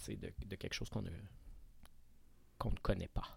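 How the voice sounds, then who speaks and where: Vocal fry runs through this man's voice, with ordinary pitch variation. His pace is very slow. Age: 40s. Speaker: actor and drag queen. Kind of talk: casual chat.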